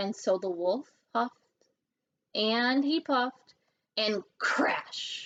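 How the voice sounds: A woman's fairly high, fairly bright voice at a very slow pace, with ordinary pitch variation.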